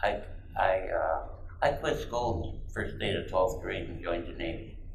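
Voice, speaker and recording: Someone with an American accent talks at a moderate pace amid noticeable background noise and audible room echo. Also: man. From Michigan, Detroit area. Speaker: navy veteran. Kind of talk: oral history interview.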